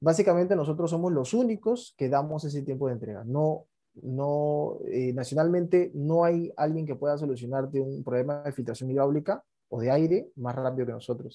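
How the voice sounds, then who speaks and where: This man's voice sits fairly high, with a dark, mellow tone. He talks at a moderate pace with ordinary pitch variation. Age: 20s. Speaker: company founder and CEO. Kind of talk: interview.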